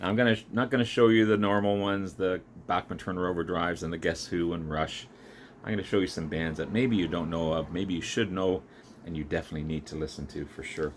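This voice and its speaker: Very deep and low in pitch, a man talks at a very fast pace with ordinary pitch variation. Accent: Canadian. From Canada. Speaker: vinyl record collector YouTuber. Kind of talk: casual show-and-tell video. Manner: hesitant with fillers.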